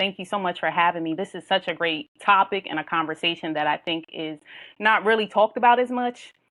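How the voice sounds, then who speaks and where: A bright, sharp-toned woman's voice in a northern US accent, medium in pitch with ordinary pitch variation, fairly quick in pace, on a very clean recording with a silent background. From Philadelphia area, Pennsylvania. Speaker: nurse anesthetist and life coach. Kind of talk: podcast interview.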